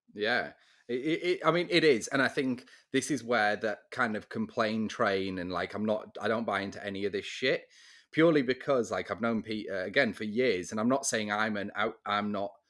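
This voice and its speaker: In an English accent, a man talks at a moderate pace with a medium pitch and ordinary pitch variation. The recording is very clean, with a silent background. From England. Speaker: real estate podcast host. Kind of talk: casual chat.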